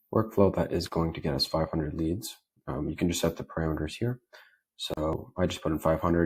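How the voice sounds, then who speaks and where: A man with a very deep, low pitch talks at a very fast pace in a somewhat breathy voice. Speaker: automation tutorial creator. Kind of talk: screen-share tutorial. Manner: casual, filler-heavy.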